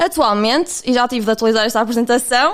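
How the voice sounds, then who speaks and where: Speaking in a European Portuguese accent, a woman talks at a fairly quick pace. Her voice is high, with ordinary pitch variation. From Portugal. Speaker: podcast host. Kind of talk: podcast interview. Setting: remote call.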